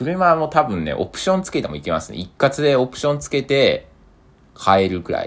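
There are big swings in this man's loudness. He moves fairly quickly. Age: 20s. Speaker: podcaster. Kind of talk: solo monologue.

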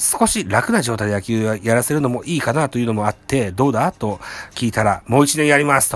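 This man has a medium pitch and a plain, everyday voice. He talks at a fairly quick pace. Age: middle-aged. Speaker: baseball podcast host. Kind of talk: reading news articles aloud; casual fan commentary.

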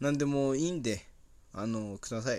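The recording is very clean, with a silent background. A man speaks at a fairly high pitch with ordinary pitch variation. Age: 20s. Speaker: podcaster and tire-change worker. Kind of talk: casual solo monologue. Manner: halting, many fillers.

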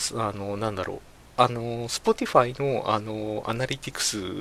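Here a man speaks at medium pitch. His intonation is fairly even. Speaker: podcast host. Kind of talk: casual solo talk. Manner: hesitant, many fillers.

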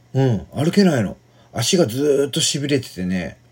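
A somewhat breathy man at a moderate pace, with very wide pitch swings. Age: 40s. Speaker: podcaster. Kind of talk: casual monologue. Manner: halting, many fillers.

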